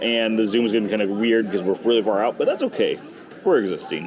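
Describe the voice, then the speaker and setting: Noticeable background noise sits behind a man talking at a very fast pace. His loudness stays very even, with ordinary pitch variation. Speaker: travel vlogger. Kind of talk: casual vlog chat. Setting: cruise ship theater and bar.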